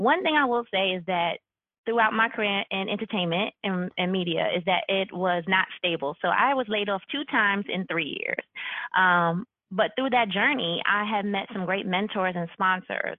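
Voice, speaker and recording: Speaking at a moderate pace with a medium pitch and ordinary pitch variation, a woman with an American accent has an unremarkable speaking voice. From New York. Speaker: university HR executive. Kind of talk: podcast interview.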